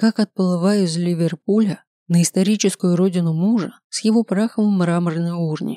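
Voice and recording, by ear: Someone reads aloud in a natural voice against a quiet background.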